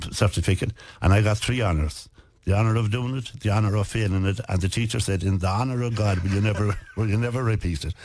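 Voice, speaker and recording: With a western Irish accent, a man speaks at a very fast pace in a fairly low, somewhat breathy voice with fairly even intonation. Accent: rural west of Ireland Irish. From West of Ireland. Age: 70s. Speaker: businessman and author. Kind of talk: radio interview.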